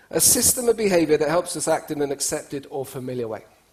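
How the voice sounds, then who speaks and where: A man with an English accent speaks at a fairly quick pace with lively intonation. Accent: speaks English like an English speaker. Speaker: cross-cultural speaker and trainer. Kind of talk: conference talk to an audience. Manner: conversational, animated.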